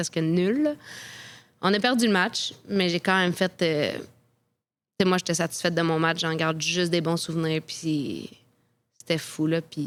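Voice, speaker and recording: A woman with a Quebec accent speaks at a fairly slow pace, her pitch fairly low and her intonation fairly even. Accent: Québécois French. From Quebec, Quebec City. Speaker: professional soccer goalkeeper. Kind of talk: interview storytelling.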